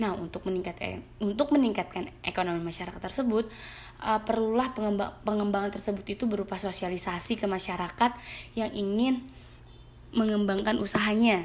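Talking at a fairly quick pace, a woman holds a medium pitch with ordinary pitch variation. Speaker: university student. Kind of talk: reading aloud prepared exam answers. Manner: reading from script with occasional hesitations.

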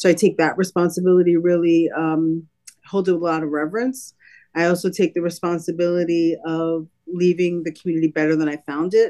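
Over a quiet background, a woman with an American accent speaks at a fairly quick pace and a fairly low pitch. She has a normal speaking voice and fairly even intonation. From Brooklyn, New York City. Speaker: nonprofit executive. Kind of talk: interview.

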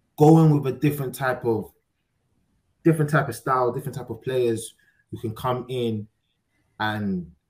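With a somewhat breathy voice and ordinary pitch variation, a man talks at a moderate pace. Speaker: football podcast host. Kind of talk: casual banter.

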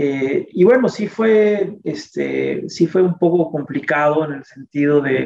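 A fairly high-pitched man speaks very slowly with hardly any pauses, lively intonation and big swings in loudness. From Mexico City. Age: 40s. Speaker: communication researcher and academic. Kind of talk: interview. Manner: halting, many fillers.

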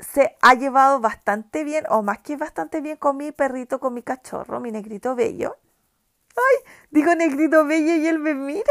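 Dry and close with no echo, a woman's voice comes through at a high pitch. She keeps a moderate pace. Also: ordinary pitch variation, big swings in loudness. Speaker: podcast host. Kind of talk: casual chat. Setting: home. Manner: halting.

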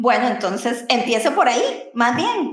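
A woman speaks with a high pitch. Noticeable background noise and audible room echo fill the recording. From Costa Rica. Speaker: podcast co-host. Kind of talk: casual chat.

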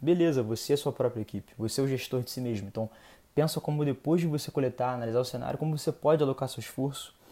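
On a very clean recording with a silent background, a man with a dark, mellow tone and medium pitch speaks at a very fast pace with fairly even intonation. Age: 20s. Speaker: podcast host and marketing manager. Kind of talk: solo podcast monologue, advice talk. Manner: casual, conversational with filler hesitations.

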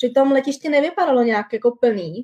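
A woman speaks with a high pitch. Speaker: working holiday visa holder. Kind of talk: casual interview. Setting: video livestream.

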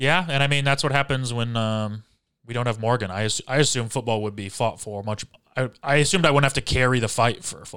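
A man speaks at a very fast pace with a bright, sharp tone. His pitch is medium, with ordinary pitch variation. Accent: American. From Michigan. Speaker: podcast host. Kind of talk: casual chat. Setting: livestream over Discord.

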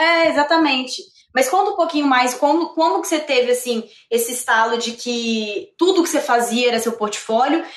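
A woman's high voice carries lively intonation at a moderate pace. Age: 20s. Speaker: actress and podcast host. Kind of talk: casual interview chat. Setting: live stream. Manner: animated.

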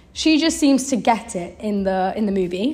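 In a British accent, a woman speaks with a fairly high pitch and a somewhat breathy quality. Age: 20s. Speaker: podcast host, university dropout. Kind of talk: casual chat.

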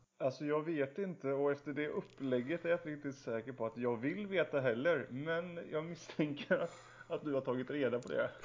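At a moderate pace, a man with a normal speaking voice talks in a fairly high pitch with ordinary pitch variation. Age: 30s. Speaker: podcast co-host. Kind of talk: casual chat.

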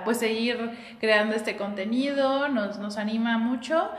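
Room echo and noticeable background noise can be heard. A woman speaks at a fairly high pitch with ordinary pitch variation. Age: 20s. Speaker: psychologist and podcast co-host. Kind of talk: casual chat recorded as a live stream.

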